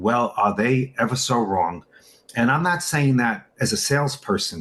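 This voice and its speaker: Speech moves at a fairly quick rate. Intonation rises and falls in a lively way. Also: man. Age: 60s. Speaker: supplement distributor. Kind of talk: interview. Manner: animated.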